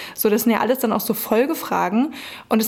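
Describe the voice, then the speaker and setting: With fairly even intonation, a woman speaks over noticeable background noise. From Brandenburg, Germany. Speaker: hip-hop agency founder. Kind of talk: interview.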